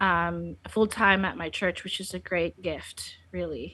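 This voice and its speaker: Against a quiet background, a woman with a Filipino accent speaks very slowly at a medium pitch, her tone bright and sharp and her pitch variation ordinary. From Philippines, Laoag City. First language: Filipino (Ilocano/Tagalog). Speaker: biblical counselor. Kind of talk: podcast interview.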